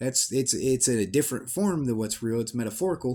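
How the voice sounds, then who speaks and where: With a dark, mellow tone at a medium pitch, a man speaks at a fairly quick pace and with lively intonation. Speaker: vlogger. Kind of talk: casual monologue. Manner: rambling, halting with self-corrections; lowered voice.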